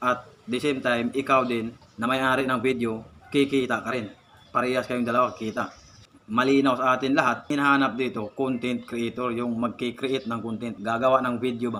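A man's medium-pitched voice, fairly quick, with monotone, flat intonation. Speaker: content creator giving tips. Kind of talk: vlog monologue.

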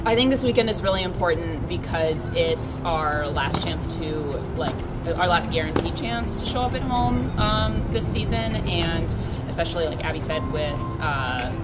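A woman speaking at a moderate pace, with music in the background. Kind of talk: interview answer. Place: street. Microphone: handheld.

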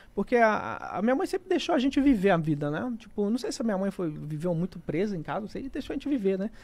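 At a very fast pace with hardly any pauses, a man speaks. His high pitch swings very widely. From Rondônia, then Minas Gerais, Brazil; Minas Gerais, Brazil. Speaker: gaming YouTuber and comedian; gaming YouTuber, comedian. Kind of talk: casual interview chat. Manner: casual, slangy. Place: studio. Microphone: studio mic.

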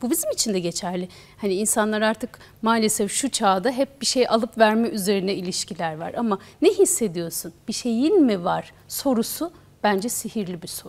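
A woman with a plain, everyday voice and a fairly high pitch speaks at a moderate pace, her intonation lively and her loudness swinging widely. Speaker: TV show host. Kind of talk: TV interview. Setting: studio. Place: studio. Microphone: lapel.

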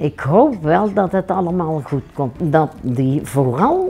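With very wide pitch swings, a woman speaks over faint music in the background. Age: 80s+. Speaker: local resident interviewee. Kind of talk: interview answer. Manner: casual, plain-spoken. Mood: earnest, matter-of-fact. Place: home room. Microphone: lapel.

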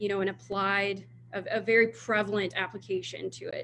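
Over light background noise, a woman with an American accent speaks at a moderate pace. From Texas, Houston. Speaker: wildlife disease researcher. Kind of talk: Q&A after a talk. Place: office. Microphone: video call.

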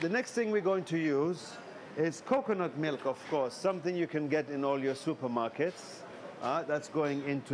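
A man speaks at moderate speed while noticeable noise sits in the background. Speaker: cooking show host. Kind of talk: tutorial. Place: shop. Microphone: lapel.

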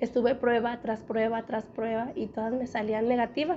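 A woman's fairly high voice with a dark, mellow tone, little pitch movement and a moderate pace.

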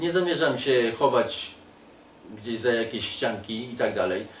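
Over light background noise and audible room echo, a man with a Polish accent talks at a moderate pace with lively intonation. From Poland. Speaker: political activist. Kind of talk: casual interview. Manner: halting. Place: home room.

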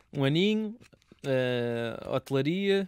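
A man speaks in a dry recording with no echo and a quiet background. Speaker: radio interviewer host. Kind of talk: casual interview. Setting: radio studio. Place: studio. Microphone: studio mic.

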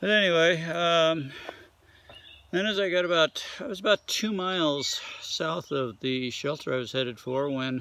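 Speaking at a moderate pace, a man with a high pitch and ordinary pitch variation comes through in a dry sound with no echo. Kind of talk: casual vlog chat. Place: forest. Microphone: phone near.

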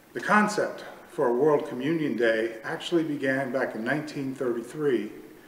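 Light background noise and audible room echo come through as a man talks. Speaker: pastor. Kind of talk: sermon. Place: church.

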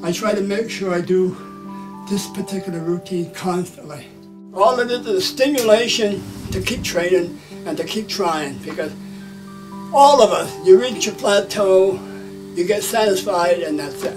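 Clear music plays in the background as a man speaks at a high pitch, at a moderate pace, with ordinary pitch variation. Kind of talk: interview answer. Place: gym.

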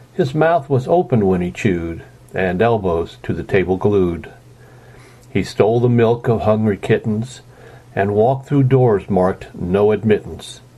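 A man with lively intonation and a fairly slow pace talks through noticeable background noise. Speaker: amateur reader / parent. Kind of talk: reading a humorous poem aloud.

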